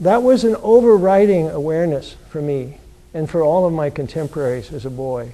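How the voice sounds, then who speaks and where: This man has a dark, mellow tone and a fairly high pitch. He moves at a fairly quick pace with lively intonation. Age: 70s. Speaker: author. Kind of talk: lecture. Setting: lecture hall with audience. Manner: halting.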